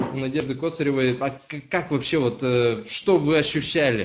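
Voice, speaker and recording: This man's voice sits fairly high. He talks at a moderate pace with ordinary pitch variation. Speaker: company representative; webinar host. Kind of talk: live report. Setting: on location video link. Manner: excited. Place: office. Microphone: webcam.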